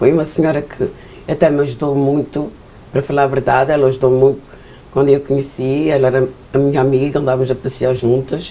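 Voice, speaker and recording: A woman with a very deep, low pitch talks at a fairly quick pace in a monotone, flat delivery with very even loudness. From Azores, São Miguel. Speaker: Portuguese immigrant interviewee. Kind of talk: interview.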